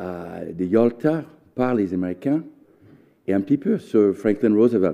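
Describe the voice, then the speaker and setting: A man with an American accent at a very slow pace, with a fairly low pitch, a dark, mellow tone, lively intonation and long, frequent pauses. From United States. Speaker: history professor. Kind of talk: lecture. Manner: halting.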